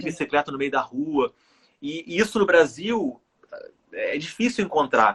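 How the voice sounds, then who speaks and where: At a fairly slow pace, a high-pitched man makes very wide pitch swings and long, frequent pauses in a dry, close sound with no echo. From Rio de Janeiro, Brazil. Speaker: author, cardiac arrest survivor. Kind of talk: interview answer.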